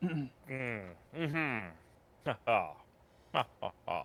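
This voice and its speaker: A man uses a put-on character voice with a fairly high pitch. He talks at a fairly slow pace. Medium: actual play.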